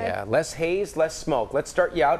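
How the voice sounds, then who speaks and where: A man with a fairly high pitch and vocal fry speaks at a moderate pace. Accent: American. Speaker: TV weather forecaster and host. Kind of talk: on-air banter with co-anchor and weather forecast. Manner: upbeat, chatty, jokey.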